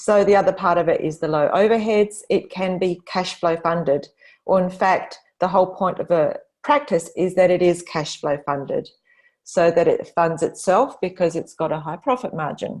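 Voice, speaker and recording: In a plain, everyday voice, a woman speaks at a moderate pace and medium pitch, with ordinary pitch variation and a quiet background. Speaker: business coach presenting to agency owners. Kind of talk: webinar presentation.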